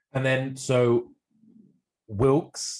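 Against a quiet background, a man talks with an English accent. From England. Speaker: podcast host, chiropractor. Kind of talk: interview.

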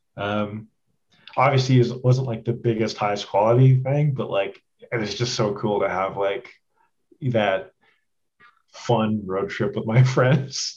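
Somewhat breathy, a man talks at a fairly slow pace with ordinary pitch variation and long, frequent pauses. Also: medium pitch for a man. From Canada, Edmonton, Alberta. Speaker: film director. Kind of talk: casual interview.

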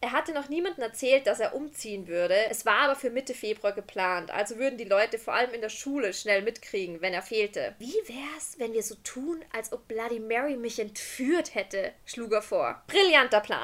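A woman with an ordinary speaking voice talks at a moderate pace and fairly high pitch with lively intonation. She takes hardly any pauses. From Austria. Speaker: podcast host. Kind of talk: storytelling; casual chat.

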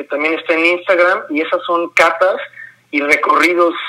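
At a moderate pace, a man with a high pitch speaks with fairly even intonation. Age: 40s. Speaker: graphic designer and mezcal entrepreneur. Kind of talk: interview conversation. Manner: repeats words, hesitant fillers.

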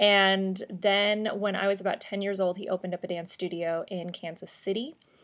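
A woman's medium-pitched voice with an American accent, fairly even intonation and a moderate pace, on a very clean recording with a silent background. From US Midwest. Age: 30s. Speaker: life coach and podcast host. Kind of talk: solo podcast storytelling.

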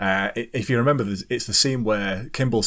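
A man with a British accent at a moderate pace, very clean recording and silent background. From UK. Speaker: podcast host. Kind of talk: casual chat.

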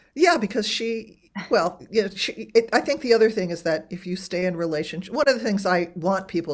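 A woman with a plain, everyday voice speaks with lively intonation at a moderate pace on a very clean recording with a silent background. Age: 60s. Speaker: author and writing teacher. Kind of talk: casual chat.

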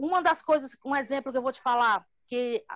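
A woman speaks in a high voice. The sound is dry and close with no echo. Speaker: housing movement leader. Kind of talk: interview.

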